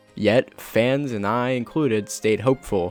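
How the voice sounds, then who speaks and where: A man speaks at a medium pitch over background music. The sound is dry and close, with no echo. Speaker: gaming commentator. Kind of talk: video essay narration. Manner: stuttering, fumbling on words.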